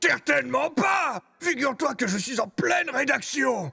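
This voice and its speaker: A man shouts in a put-on character voice at an extremely high pitch and a moderate pace. Faint music plays in the background. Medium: dub. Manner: brusque, headstrong.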